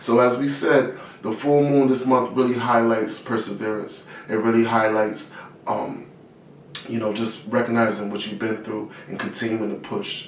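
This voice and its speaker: Behind a man talking in a medium pitch, noticeable background noise can be heard. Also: moderate pace. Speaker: guided meditation teacher. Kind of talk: guided meditation; casual talk to camera. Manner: calm, instructional.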